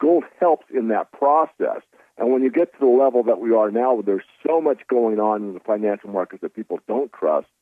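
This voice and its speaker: This man has a plain, everyday voice at a medium pitch, talking at a fairly quick pace with ordinary pitch variation. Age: 60s. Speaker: precious metals analyst. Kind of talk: radio interview.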